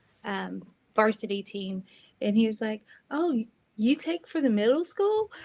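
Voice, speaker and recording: A woman with a North Carolina accent speaks at a moderate pace with long, frequent pauses, her voice somewhat breathy and fairly high with lively intonation, on a very clean recording with a silent background. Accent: Southern US (North Carolina). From coastal North Carolina (Southport). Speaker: high school sports photographer. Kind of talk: interview. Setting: live video stream.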